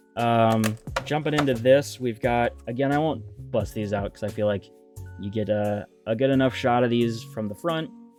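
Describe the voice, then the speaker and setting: A man's medium-pitched voice at a moderate pace with ordinary pitch variation, music in the background. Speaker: Pokemon card collector. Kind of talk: casual talk to camera.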